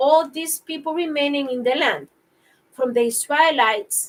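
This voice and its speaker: A woman speaks in a high voice. It sounds shaky. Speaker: bible reading vlogger. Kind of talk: reading aloud. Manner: shaky voice.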